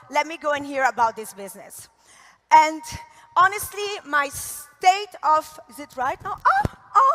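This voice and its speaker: A woman speaks in a raised, projected voice with an Italian accent. Noticeable background noise is present. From Italy. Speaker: network marketing leader. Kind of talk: motivational talk. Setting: stage with audience. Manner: animated.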